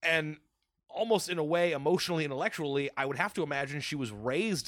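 Lively in intonation and fairly quick, it is an ordinary speaking voice. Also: man. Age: 20s. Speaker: podcast guest. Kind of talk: casual chat.

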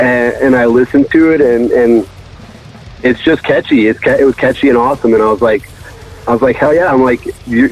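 Over noticeable background noise, a man with an American accent talks at a fairly quick pace and a medium pitch, with fairly even intonation, very even loudness, and long, frequent pauses. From Connecticut. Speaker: record label owner. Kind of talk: interview. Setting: phone call.

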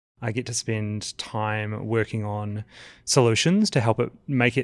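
Here a man speaks with a New Zealand accent. His pitch is medium. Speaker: education program manager. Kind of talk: casual chat.

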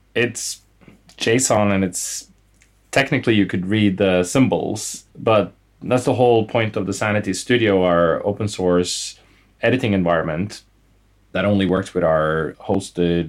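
With a Norwegian accent, the speaker moves at a moderate pace with ordinary pitch variation in a very clean recording with a silent background. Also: man. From Norway. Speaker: startup co-founder and CEO. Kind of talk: interview conversation.

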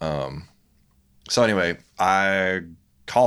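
A voice with a Louisiana accent comes through in a very clean recording with a silent background. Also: man. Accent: Southern US (Louisiana). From US South, Louisiana (Baton Rouge). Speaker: photographer and graphic designer. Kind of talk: casual chat.

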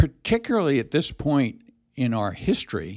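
The recording is very clean with a silent background, and the man in it keeps a moderate pace. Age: 70s. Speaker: lawyer and former university president. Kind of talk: interview.

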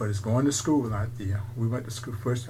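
A man with an American accent talks at a fairly quick pace. There is noticeable background noise. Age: 80s+. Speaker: museum owner, military veteran. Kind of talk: casual interview, storytelling. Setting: recorded interview, low audio quality.

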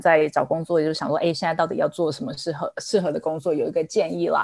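Speaking with a Taiwanese accent, a woman uses a fairly low pitch. She talks at a very fast pace. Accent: Taiwanese Mandarin. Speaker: ad tech executive. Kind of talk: casual panel discussion.

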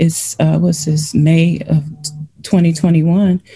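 A woman's fairly low, dark and mellow voice, somewhat breathy, with an American accent, fairly even intonation and a very slow pace. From Cleveland, Ohio. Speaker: breast cancer patient, military veteran. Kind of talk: interview.

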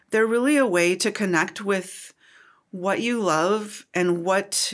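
A woman with an American accent talks at a fairly slow pace. Her voice is medium in pitch, with ordinary pitch variation. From US Upper Midwest (Minnesota/Wisconsin). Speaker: craft book publisher. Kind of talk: casual interview. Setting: at a fiber arts retreat. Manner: animated.

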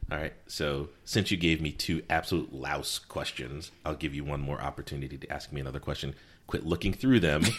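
The speech moves at a fairly quick pace with vocal fry. Intonation stays fairly even. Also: man, very deep, low pitch for a man. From US East Coast (Connecticut, also US South). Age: 40s. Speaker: podcast co-host. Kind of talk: casual chat.

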